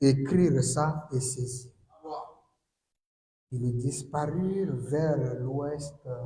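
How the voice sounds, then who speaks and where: In a room with audible echo, a man with a fairly high pitch and a dark, mellow, somewhat breathy tone speaks at a very slow pace with fairly even intonation and long, frequent pauses. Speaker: preacher. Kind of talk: sermon.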